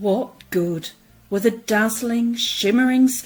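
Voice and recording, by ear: The pitch moves in an ordinary way as a natural voice reads aloud.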